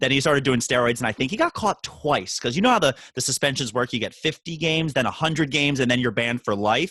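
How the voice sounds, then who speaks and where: A man speaks in a bright, sharp tone at a fairly high pitch. The sound is dry and close, with no echo. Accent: American. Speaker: podcast host. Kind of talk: casual chat.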